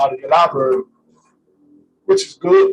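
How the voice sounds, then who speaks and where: A man speaks loudly. His pace is moderate. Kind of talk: casual spiritual discussion on live stream. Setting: live stream from a room with camera.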